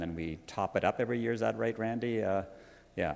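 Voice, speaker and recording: Speaking at a fairly quick pace with ordinary pitch variation, a man is heard in a very clean recording with a silent background. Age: 70s. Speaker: church treasurer. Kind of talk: financial report at church meeting. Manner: halting, many fillers.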